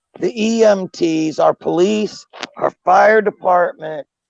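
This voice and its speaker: A man's voice in a dry, close sound with no echo. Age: 60s. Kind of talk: casual chat.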